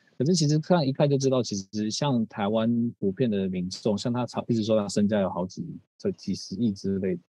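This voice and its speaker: A man speaks at a moderate pace in a dark, mellow tone with ordinary pitch variation. The sound is dry and close, with no echo. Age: 30s. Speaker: physical therapist and coach. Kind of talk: talk at a live seminar. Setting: stage with audience.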